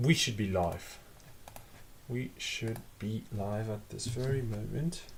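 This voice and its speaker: A man talks at a medium pitch with ordinary pitch variation. His voice is somewhat breathy and his pace fairly slow. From Italy. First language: Italian. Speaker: language learner streamer. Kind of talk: live study stream. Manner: casual, some hesitation.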